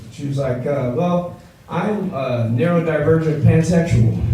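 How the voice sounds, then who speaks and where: Noticeable background noise and audible room echo behind a man with an American accent. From Los Angeles, US West Coast. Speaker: stand-up comedian. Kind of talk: stand-up. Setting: stage with audience. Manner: animated.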